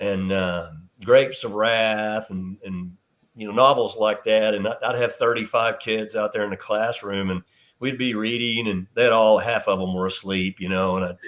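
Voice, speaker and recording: Fairly low in pitch, a man speaks at a moderate pace. His intonation is fairly even. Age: 60s. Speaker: teacher, coach and author. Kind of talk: interview. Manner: halting.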